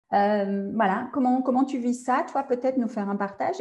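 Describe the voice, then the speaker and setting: Somewhat breathy and dark, mellow in tone, a woman's voice moves at a moderate pace with ordinary pitch variation. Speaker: podcast host and coach. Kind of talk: interview.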